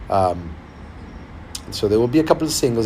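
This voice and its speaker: Amid noticeable background noise and audible room echo, a man with a Spanish accent speaks at a medium pitch with very wide pitch swings. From Argentina. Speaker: singer-songwriter. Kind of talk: livestream casual chat. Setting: livestream. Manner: halting.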